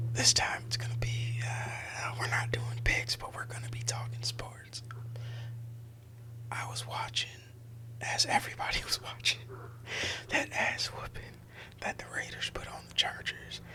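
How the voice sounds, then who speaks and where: Soft-spoken and relaxed in tone, a man talks at medium pitch and a fairly slow pace with monotone, flat intonation, big swings in loudness and long, frequent pauses, over noticeable background noise. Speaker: sports commentator, content creator. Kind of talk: ASMR sports commentary ramble, casual talk to camera. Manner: soft-spoken, relaxed.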